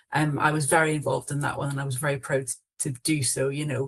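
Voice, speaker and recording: The pace is fairly quick. The speaker has a Scottish accent. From Scotland. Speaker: council officer. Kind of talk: online panel discussion. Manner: hesitant, many fillers and self-corrections.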